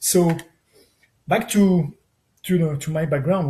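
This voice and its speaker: A man's somewhat breathy, dark, mellow voice with fairly even intonation in a French accent. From France. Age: 60s. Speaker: tech entrepreneur. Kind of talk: interview. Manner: halting.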